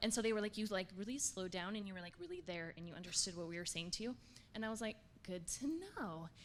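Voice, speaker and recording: In an animated tone, a woman talks at a very fast pace and medium pitch. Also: ordinary pitch variation. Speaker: coaching trainee. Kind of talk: workshop sharing. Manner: fast talker.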